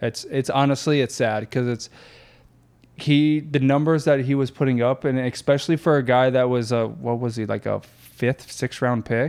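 A man with an American accent talks in a normal speaking voice at medium pitch, moderate pace and fairly even intonation, on a very clean recording with a silent background. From Florida. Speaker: former pro baseball player, athletic facility owner. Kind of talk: casual chat. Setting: office.

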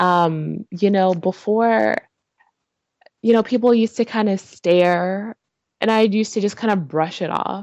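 An ordinary speaking voice with an American accent moves at a fairly slow pace. Intonation is fairly even, and the sound is dry and close with no echo. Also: woman, medium pitch for a woman. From Georgia, US. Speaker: interviewee. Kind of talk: interview. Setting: video call.

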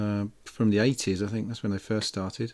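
A man speaks at a moderate pace with a normal speaking voice, medium in pitch with ordinary pitch variation. The recording is very clean with a silent background. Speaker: radio host. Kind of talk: radio DJ patter, casual chat between tracks. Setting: studio. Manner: chatty, rambling, easygoing banter with co-host.

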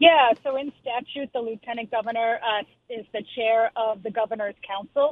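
Her voice is an unremarkable speaking voice, a woman's with an American accent, fairly high pitch and fairly even intonation. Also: moderate pace. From Lowell, Massachusetts. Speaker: politician, state representative. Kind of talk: radio interview. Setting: phone call.

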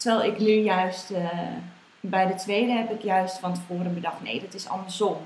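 Amid noticeable background noise and audible room echo, a woman speaks at a medium pitch and moderate pace with fairly even intonation and big swings in loudness. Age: 20s. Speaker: mother sharing birth story. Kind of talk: interview testimony. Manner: hesitant, many fillers.

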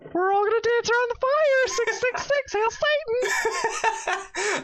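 An extremely high-pitched put-on character voice at a fairly slow pace, over clear background noise. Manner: creepy, eerie.

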